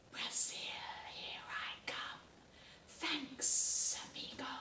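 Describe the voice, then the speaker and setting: A put-on character voice in a hissing whisper at a very slow pace. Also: female-sounding voice. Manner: cheerful, casual.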